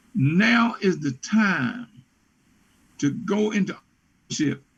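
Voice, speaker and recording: A man with an American accent, high-pitched, talking at a very slow pace over music in the background. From West Virginia. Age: 70s. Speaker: business consultant. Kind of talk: interview. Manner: animated.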